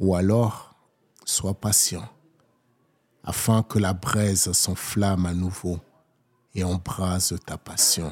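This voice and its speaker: Soft-spoken and very deep in pitch, a man talks at a very slow pace in a monotone, flat delivery with long, frequent pauses. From Togo, then Paris region from age 7. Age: 40s. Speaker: poet. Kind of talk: poetry performance.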